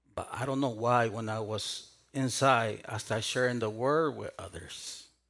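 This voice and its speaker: A man speaks in a Spanish accent at a medium pitch and a moderate pace. His pitch variation is ordinary, and the room echo is audible. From South America. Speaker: pastor. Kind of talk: sermon.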